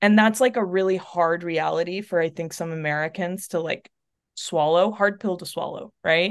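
With a quiet background, the delivery comes at a moderate pace in an unremarkable speaking voice. The intonation stays fairly even. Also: woman, fairly low pitch for a woman. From North Texas, Chilean family. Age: 30s. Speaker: abortion fund volunteer and coach. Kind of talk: interview conversation.

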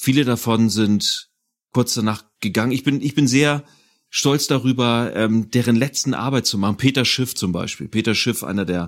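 Here is a man with an unremarkable speaking voice at a medium pitch and a fairly slow pace. The recording is very clean, with a silent background. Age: 40s. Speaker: audio drama producer and composer. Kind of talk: casual chat.

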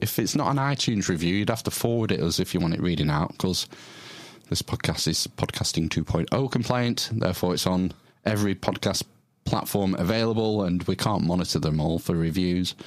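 In a British accent, a man talks at a fairly quick pace with lively intonation and very even loudness. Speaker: podcast host. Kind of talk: casual interview chat.

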